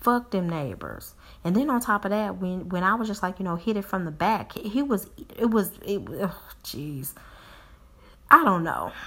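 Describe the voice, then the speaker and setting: Her medium-pitched voice carries a bright, sharp, animated tone with lively intonation. The woman speaks at a moderate pace with long, frequent pauses. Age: 40s. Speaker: podcast host. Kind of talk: casual monologue.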